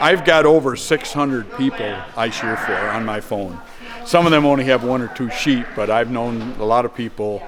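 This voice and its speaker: A man talks with ordinary pitch variation. Noticeable background noise and audible room echo surround him. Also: medium pitch for a man, moderate pace. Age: 70s. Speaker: sheep shearer and farm equipment mechanic. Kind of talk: casual interview. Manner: halting, with fillers and repeats.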